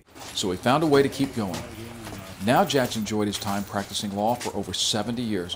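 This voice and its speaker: Fairly quick speech from a man at a medium pitch, backed by music. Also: ordinary pitch variation. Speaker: documentary host. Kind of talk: documentary narration.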